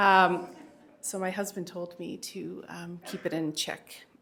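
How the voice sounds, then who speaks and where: A woman with a fairly low pitch and vocal fry speaks amid audible room echo. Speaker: keynote speaker and parent advocate. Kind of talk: keynote speech. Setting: stage with audience and microphone. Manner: conversational, many fillers.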